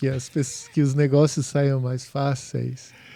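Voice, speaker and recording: Speaking fairly slowly, a man delivers his words in a dark, mellow tone with monotone, flat intonation. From southern Brazil, Porto Alegre. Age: 60s. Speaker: home inspector, former architect. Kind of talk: podcast interview. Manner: halting.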